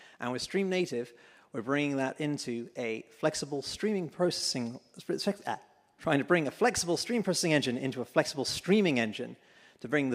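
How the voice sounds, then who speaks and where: In a British accent, a man talks at a moderate pace with a fairly high pitch and lively intonation. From UK. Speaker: tech company executive. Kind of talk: conference keynote talk. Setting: stage with audience.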